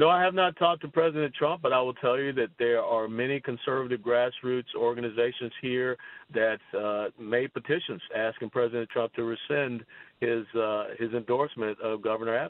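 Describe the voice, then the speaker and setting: With an American accent, a man talks at a fairly quick pace in an ordinary speaking voice. His pitch is medium, with ordinary pitch variation. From US South, Georgia. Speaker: politician and retired army officer. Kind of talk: radio interview.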